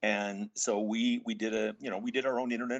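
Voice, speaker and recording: A man talks at a fairly quick pace. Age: 60s. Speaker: pickleball product entrepreneur. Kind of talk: interview.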